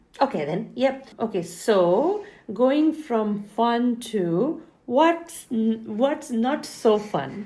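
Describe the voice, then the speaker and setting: A woman with a non-native accent speaks at a very slow pace in a fairly high pitch, her dark, mellow tone moving through very wide pitch swings. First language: not English. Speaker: podcast co-host, mother. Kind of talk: casual chat.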